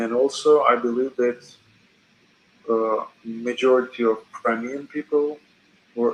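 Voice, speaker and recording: A man with a non-native accent talks at medium pitch in a monotone, flat way, leaving long, frequent pauses. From Georgia (country). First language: not English. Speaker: chat stranger. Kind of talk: casual chat. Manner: halting.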